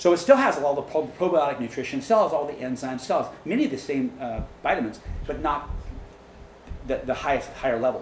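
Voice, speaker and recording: Very fast and fairly high-pitched, a man with an American accent talks amid noticeable background noise and audible room echo. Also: ordinary pitch variation. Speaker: dairy farm owner and speaker. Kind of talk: lecture with audience questions. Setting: meeting room with live audience.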